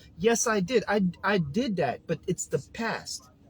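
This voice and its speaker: A man's high voice in an animated, passionate tone. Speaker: health and wellness coach. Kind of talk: casual vlog monologue.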